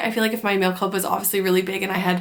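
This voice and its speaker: Noticeable background noise surrounds a woman speaking at a very fast pace. Her medium-pitched voice has monotone, flat intonation. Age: 30s. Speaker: artist and vlogger. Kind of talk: casual chat. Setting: art studio.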